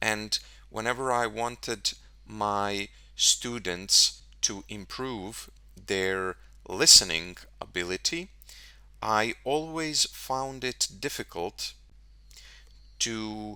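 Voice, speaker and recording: A man's fairly low, bright, sharp voice with lively intonation, a very slow pace and long, frequent pauses, in a very clean recording with a silent background. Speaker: English tutor. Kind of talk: podcast talk for English learners.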